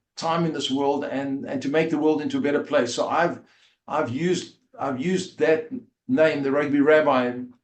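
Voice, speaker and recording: A man with a South African accent talks at a fairly high pitch. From South Africa, Port Elizabeth. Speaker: rabbi and former rugby player. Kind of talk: interview storytelling. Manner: halting, many fillers.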